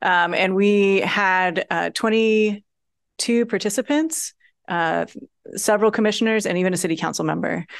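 In a quiet background, a woman speaks at medium pitch and a moderate pace. She has an unremarkable speaking voice with ordinary pitch variation. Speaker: workshop facilitator. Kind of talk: public meeting presentation.

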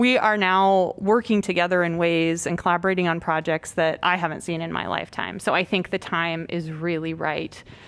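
This woman has a fairly low pitch and fairly even intonation, talking at a moderate pace on a very clean recording with a silent background. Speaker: local government official. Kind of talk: board meeting discussion. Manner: passionate.

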